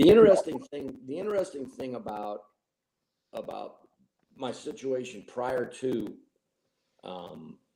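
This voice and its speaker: Speaking at a fairly slow pace, a man uses lively intonation and a dark, mellow tone. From Granite City, Illinois (St. Louis area). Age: 60s. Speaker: gym member, cancer survivor. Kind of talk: interview, personal testimony.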